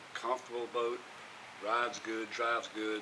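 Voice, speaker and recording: A man with a medium-pitched voice is heard through noticeable background noise. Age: 60s. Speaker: vlogger building a boat. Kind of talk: casual vlog monologue.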